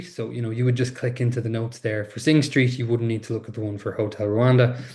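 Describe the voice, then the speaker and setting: A man talks at a very fast pace in an Irish accent. His voice is medium-pitched and somewhat breathy. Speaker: webinar presenter. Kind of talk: webinar tutorial. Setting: online webinar. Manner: animated.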